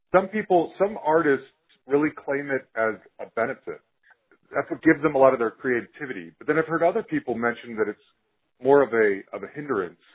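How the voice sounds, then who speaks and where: A man with an American accent speaks at a fairly quick pace in an unremarkable speaking voice, his fairly high pitch carried by lively intonation and big swings in loudness. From Utah, US. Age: 40s. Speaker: podcast host. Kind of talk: interview.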